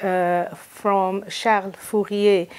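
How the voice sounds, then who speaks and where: A woman with a Portuguese accent speaks at a very slow pace. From Brazil, São Paulo. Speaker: film scholar. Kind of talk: interview. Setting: recorded in London. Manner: hesitant, many fillers. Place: home room. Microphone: lapel.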